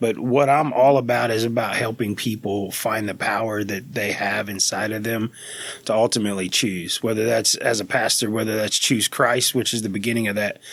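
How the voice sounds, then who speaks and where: A man with an American accent, medium pitch and a moderate pace. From US South, South Louisiana (Cajun, Vermilion Parish). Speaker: pastor. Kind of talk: casual chat. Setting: studio.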